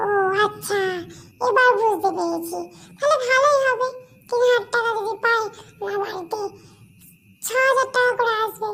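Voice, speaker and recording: In a cartoonish character voice, the speaker talks at a moderate pace with an extremely high pitch. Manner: gullible, excitable.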